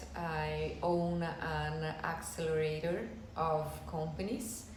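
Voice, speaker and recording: Against noticeable background noise and audible room echo, a woman speaks with a Brazilian Portuguese accent. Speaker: business owner. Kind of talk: informal talk to camera. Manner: halting.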